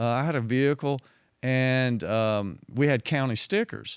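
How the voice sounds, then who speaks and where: With a strong Southwest Virginia accent, a man speaks at a fairly slow pace and medium pitch with ordinary pitch variation, in a dry, close sound with no echo on a very clean recording with a silent background. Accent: heavy Southwest Virginia. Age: 60s. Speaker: retired undercover police officer. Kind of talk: interview storytelling.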